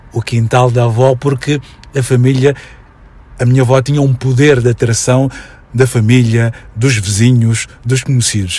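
Somewhat breathy and of medium pitch, a man's dark, mellow tone moves at a moderate pace in a monotone, flat intonation, with very even loudness and long, frequent pauses. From Mozambique (Maputo, Mafalala). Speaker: educator and consultant. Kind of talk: radio interview.

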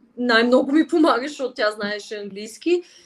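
In a plain, everyday voice, a woman speaks at a moderate pace. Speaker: flutist and language teacher. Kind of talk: interview.

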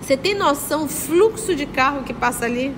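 Very wide pitch swings amid audible room echo and noticeable background noise. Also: woman. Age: 50s. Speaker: spiritist study leader. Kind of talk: religious study lecture. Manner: conversational, addresses audience directly.

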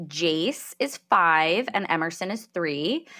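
In a very clean recording with a silent background, a woman speaks very slowly with a New Jersey accent. Her tone is bright and sharp, and her intonation is lively. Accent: New Jersey American. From New Jersey, US. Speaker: podcast host. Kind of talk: interview, personal testimony.

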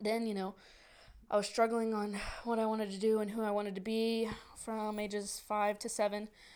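Speaking at a fairly quick pace with an American accent, a woman with a fairly high pitch keeps a monotone, flat intonation. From northern Virginia, near DC. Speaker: podcast host. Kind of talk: casual chat.

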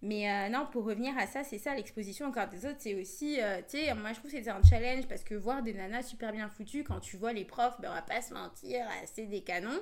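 A woman with a plain, everyday voice talks at a fairly quick pace. Her pitch is fairly high, with ordinary variation. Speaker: podcast co-host. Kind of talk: casual chat.

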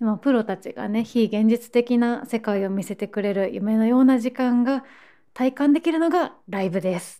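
A woman speaks at a moderate pace in a dark, mellow tone. Her pitch is fairly high, with ordinary variation. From Osaka, Japan. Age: 20s. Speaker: model and podcast host. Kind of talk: casual solo podcast talk.

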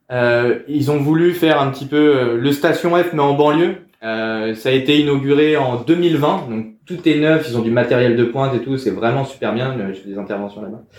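The speaker is a man with a fairly high pitch. He talks at a moderate pace with ordinary pitch variation. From France, Val d'Oise (Paris suburbs). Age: 30s. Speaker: startup program manager. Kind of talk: casual interview. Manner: halting, many repetitions and fillers.

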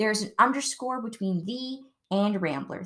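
A woman with a normal speaking voice and an American accent, fairly high-pitched, with lively intonation at a moderate pace, on a very clean recording with a silent background. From Ohio, US Midwest. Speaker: podcast host. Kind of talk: casual chat.

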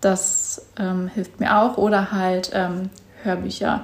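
Over noticeable background noise, a woman speaks at a very slow pace in a monotone, flat way. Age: 20s. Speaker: podcast host and content creator. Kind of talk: casual solo monologue. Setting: at home on a couch. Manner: hesitant, filler words.

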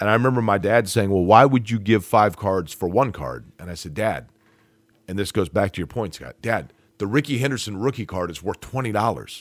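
A man with an unremarkable speaking voice talks at a fairly quick pace and a fairly low pitch, with ordinary pitch variation and big swings in loudness. The recording is very clean, with a silent background. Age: 40s. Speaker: sports broadcaster. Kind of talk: casual chat.

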